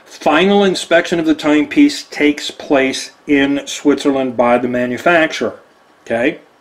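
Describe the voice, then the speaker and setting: Noticeable background noise behind a man with an American accent, fairly high in pitch, at a moderate pace with ordinary pitch variation. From Texas. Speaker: watch deal presenter. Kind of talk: product presentation. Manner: animated.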